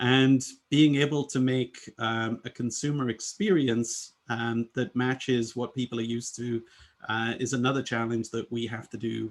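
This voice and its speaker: This is a man at a medium pitch. His intonation is fairly even. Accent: British. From UK. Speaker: UX design leader. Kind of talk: presentation. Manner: many filler words (um, uh).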